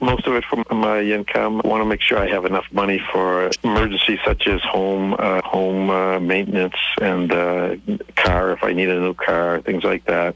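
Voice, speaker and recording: The speech goes at a fairly slow pace. Noticeable background noise runs underneath. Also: man. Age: 60s. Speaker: caller. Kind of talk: phone-in question. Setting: phone call. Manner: halting.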